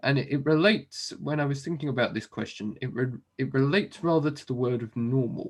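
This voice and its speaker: A man with an English accent at a fairly high pitch, fairly quick and with hardly any pauses, his pitch varying in an ordinary way. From southern England. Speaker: software developer, business owner. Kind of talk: interview. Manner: hesitant, many fillers.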